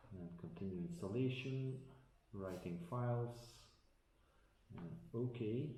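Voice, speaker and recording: A man with a Dutch accent is heard against noticeable background noise and audible room echo. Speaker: tech unboxing vlogger. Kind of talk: tutorial. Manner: halting, many fillers.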